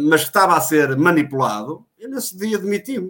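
A man talks at a fairly quick pace with lively intonation in a plain, everyday voice. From Portugal, Guimarães area. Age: 40s. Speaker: former club election candidate. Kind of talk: live online panel discussion.

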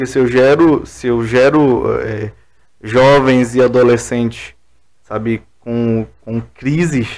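A man's medium-pitched voice holds fairly even intonation throughout. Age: 20s. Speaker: pastor. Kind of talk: casual chat.

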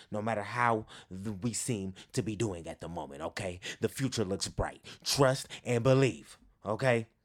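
In an ordinary speaking voice with an American accent, a man talks at a moderate pace, fairly low in pitch with ordinary pitch variation, on a very clean recording with a silent background. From Northern California, East Bay. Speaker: podcast host, sports fan and motivational speaker. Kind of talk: casual monologue.

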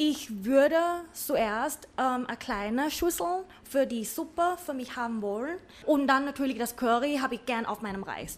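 A woman speaks with a high pitch and lively intonation. Her pace is moderate. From Thailand, Bangkok. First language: Thai (speaking German). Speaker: cook. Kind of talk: casual chat. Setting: cooking studio.

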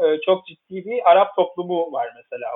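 Ordinary pitch variation and a moderate pace in a man's plain, everyday voice. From Istanbul, Turkey. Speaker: journalist. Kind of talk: interview.

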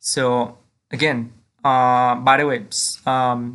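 A man with a Mexican accent speaks over a quiet background. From Mexico. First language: Spanish. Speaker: language teacher podcaster. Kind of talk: tutorial.

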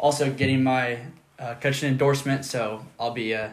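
There is audible room echo as a man with an American accent talks at a moderate pace in monotone, flat intonation. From US Midwest, rural Nebraska. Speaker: podcast co-host, college student. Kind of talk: casual chat.

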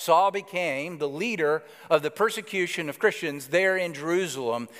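A man with an Alabama accent, fairly high in pitch and lively in intonation, on a very clean recording with a silent background. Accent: Southern US (Alabama). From US South, Alabama. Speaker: pastor. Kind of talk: sermon.

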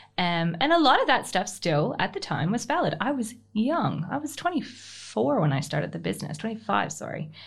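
A woman with vocal fry and very wide pitch swings, at a moderate pace with hardly any pauses. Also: medium pitch for a woman. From Canada. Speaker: business owner. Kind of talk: casual interview.

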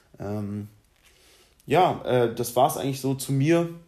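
A man's dark, mellow tone at medium pitch. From Germany, Berlin. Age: 20s. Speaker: law graduate podcaster. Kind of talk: casual solo monologue. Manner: hesitant, many filler sounds.

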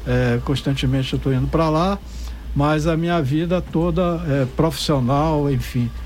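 Speaking fairly slowly with a Bahian accent, the voice carries audible room echo over noticeable background noise. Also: man. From Salvador, Bahia, Brazil. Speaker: founder of an arts and percussion project. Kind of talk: radio interview.

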